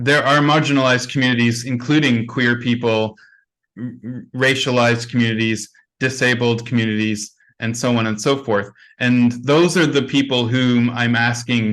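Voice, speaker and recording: A man with a Canadian accent and a plain, everyday voice, medium in pitch, over a quiet background. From Canada. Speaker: conference plenary speaker. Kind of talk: conference Q&A answer.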